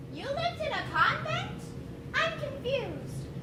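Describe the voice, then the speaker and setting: Putting on a squeaky character voice, a woman speaks at a moderate pace and an extremely high pitch. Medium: stage play. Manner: flippant, sarcastic.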